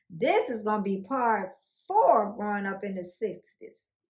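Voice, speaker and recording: This woman talks at a very slow pace. Her pitch sits in the medium range. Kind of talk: oral history talk to camera. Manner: casual, conversational.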